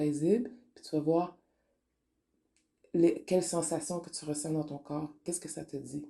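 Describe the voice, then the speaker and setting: A woman speaks with a fairly low pitch and a dark, mellow tone. Her intonation is fairly even. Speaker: spiritual online radio host. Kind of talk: spiritual talk monologue. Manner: casual, code-switching French and English.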